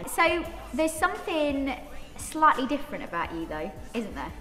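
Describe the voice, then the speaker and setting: With clear music in the background and audible room echo, a woman talks at a moderate pace using very wide pitch swings. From Northern England. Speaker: TV presenter. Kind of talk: studio chat show interview. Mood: friendly, curious. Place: studio.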